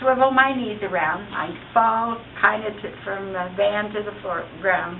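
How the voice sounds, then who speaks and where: A woman's voice shows ordinary pitch variation while audible room echo and noticeable background noise surround it. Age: 60s. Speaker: product user giving testimonial. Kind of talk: testimony.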